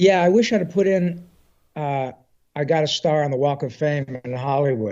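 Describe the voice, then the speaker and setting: A normal speaking voice from a man, moderate in pace, fairly high in pitch, with ordinary pitch variation. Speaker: voice actor. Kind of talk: interview answer. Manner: warm, earnest, conversational.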